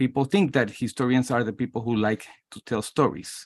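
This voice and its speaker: Against a quiet background, a man with a Spanish accent speaks at a medium pitch and a moderate pace. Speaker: history professor. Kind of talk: self-introduction in a workshop. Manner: halting.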